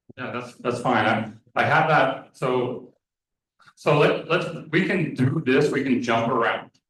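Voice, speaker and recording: Room echo is audible as a man speaks at a medium pitch and a fairly slow pace with ordinary pitch variation. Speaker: meeting chair. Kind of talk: public meeting. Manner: repetitive, halting.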